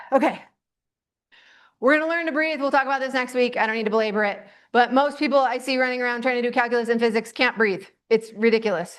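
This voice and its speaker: A loud woman with a high pitch and an animated tone talks at a fairly quick pace with ordinary pitch variation over a quiet background. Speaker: teacher. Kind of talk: lecture.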